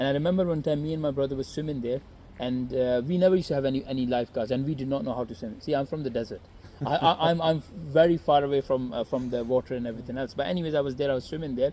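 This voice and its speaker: Someone with a non-native accent talks at a very fast pace with ordinary pitch variation. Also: man, fairly high pitch for a man. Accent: noticeable foreign. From Saudi Arabia (Jeddah), Pakistani family. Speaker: YouTuber. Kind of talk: casual interview. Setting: in person in Swansea. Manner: hesitant, many fillers.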